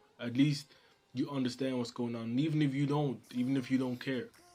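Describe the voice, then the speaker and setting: With music in the background, a man speaks at a medium pitch with fairly even intonation. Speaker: manga creator and YouTuber. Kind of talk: casual vlog monologue. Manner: soft-spoken.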